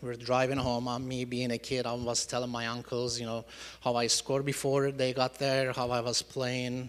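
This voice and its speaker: With a Turkish accent, a man speaks at a moderate pace in a medium-pitched, monotone, flat delivery. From Turkey. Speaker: church member giving testimony. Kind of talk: testimony. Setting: church congregation. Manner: halting, many fillers.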